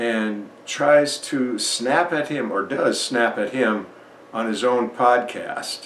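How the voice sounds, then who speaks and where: Amid noticeable background noise and audible room echo, the speaker goes at a very slow pace. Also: man, medium pitch for a man, ordinary pitch variation. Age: 60s. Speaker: YouTube commentator. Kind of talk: reaction commentary.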